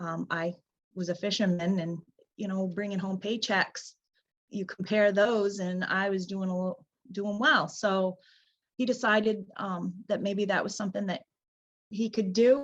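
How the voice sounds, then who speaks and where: The voice is somewhat breathy and fairly slow, with long, frequent pauses. Its intonation stays fairly even. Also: woman, medium pitch for a woman. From Downeast Maine. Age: 40s. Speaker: lobster boat captain. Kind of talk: interview answer.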